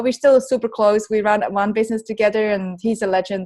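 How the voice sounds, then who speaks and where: A woman with a Swiss accent, fairly high in pitch, at a fairly quick pace and with monotone, flat intonation. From Switzerland, near Bern. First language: Swiss German. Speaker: author. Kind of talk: casual chat.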